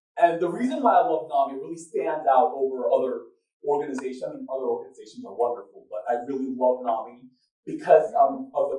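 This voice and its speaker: A man speaks at a fairly quick pace with big swings in loudness. Room echo can be heard. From South Korea. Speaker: event moderator. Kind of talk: public talk to live audience. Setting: stage with audience. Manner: animated.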